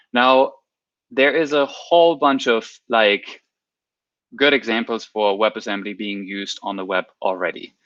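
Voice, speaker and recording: A man speaks with a non-native accent. His pace is fairly slow, with long, frequent pauses. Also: medium pitch for a man, ordinary pitch variation. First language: not English. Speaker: software developer, guest speaker. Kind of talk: technical talk on livestream. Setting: livestream with chat. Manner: halting, many repeated words.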